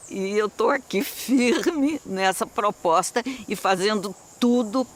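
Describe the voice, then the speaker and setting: A man's voice with noticeable background noise. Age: 80s+. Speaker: local resident and conservationist. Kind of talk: interview.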